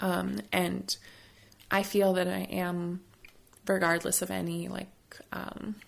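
A woman speaks with an American accent. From Florida. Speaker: artist at an oral history workshop. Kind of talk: casual interview conversation. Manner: halting, many fillers.

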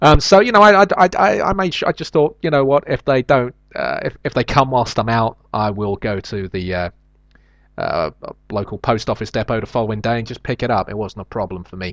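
A man's voice rises and falls in very wide pitch swings. The sound is dry and close, with no echo. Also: medium pitch for a man, fairly quick pace. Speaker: comedian and podcaster. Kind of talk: solo comedic monologue podcast. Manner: hesitant, filler-heavy.

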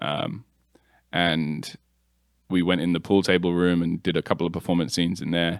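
A man with an American accent speaks in a very deep, low pitch at a moderate pace. His intonation is monotone and flat, broken by long, frequent pauses. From England. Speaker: cinematographer and video production company co-owner. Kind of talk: casual interview.

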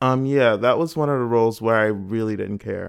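Medium-pitched male speech, its pitch varying in an ordinary way. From Florida, Miami Gardens. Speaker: actor. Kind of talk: casual chat. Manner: animated.

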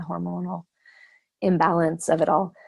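Speaking at a moderate pace, a woman talks with an American accent. The recording is very clean, with a silent background. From US Southwest, Arizona. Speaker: mother sharing birth story. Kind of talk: interview, personal storytelling.

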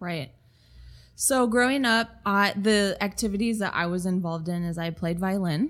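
A woman speaks at a medium pitch and a moderate pace, with ordinary pitch variation. It is a normal speaking voice, in a very clean recording with a silent background. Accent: American. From Minnesota. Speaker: creative studio owner and designer. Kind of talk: interview conversation.

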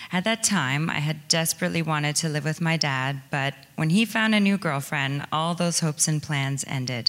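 A woman's very deep, low voice with a Canadian accent, ordinary pitch variation, a moderate pace and hardly any pauses, over noticeable background noise. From southwestern Ontario, Canada. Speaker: recovery program participant. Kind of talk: testimony. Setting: church.

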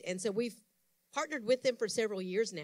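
The recording is very clean, with a silent background. A woman speaks in an ordinary speaking voice at a medium pitch, with ordinary pitch variation. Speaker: church announcer. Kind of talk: announcements.

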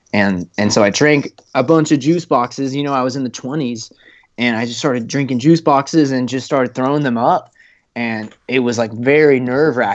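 A man with a plain, everyday voice speaks at a moderate pace. His pitch is medium, with ordinary variation. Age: 20s. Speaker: student and type 1 diabetic hiker. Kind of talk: podcast interview.

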